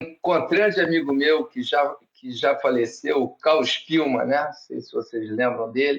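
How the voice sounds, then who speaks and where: This man talks at a fairly slow pace. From Brazil, Rio de Janeiro. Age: 60s. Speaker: surfboard shaper. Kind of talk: podcast interview.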